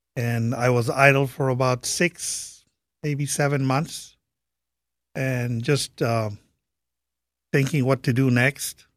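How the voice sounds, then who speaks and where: Very slowly and with long, frequent pauses, a man speaks with a non-native accent at a medium pitch and fairly even intonation. The recording is very clean, with a silent background and a dry, close sound with no echo. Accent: foreign. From Saudi Arabia, Iranian-Pakistani family. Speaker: military interpreter and businessman. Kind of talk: interview conversation.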